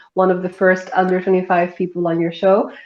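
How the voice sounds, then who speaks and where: A woman speaks in a normal speaking voice at a medium pitch. Her pace is fairly quick. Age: 23. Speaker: law student. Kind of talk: interview.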